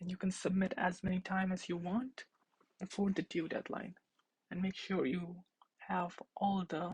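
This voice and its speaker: A woman speaks at a moderate pace with a medium pitch and fairly even intonation. Her voice is somewhat breathy, broken by long, frequent pauses. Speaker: teaching assistant. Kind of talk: tutorial.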